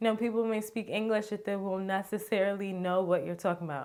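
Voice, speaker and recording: A woman with an American accent speaks fairly quickly in a normal speaking voice at medium pitch. Her intonation is fairly even, and the recording is very clean with a silent background. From United States. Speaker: vlogger. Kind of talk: casual vlog talk.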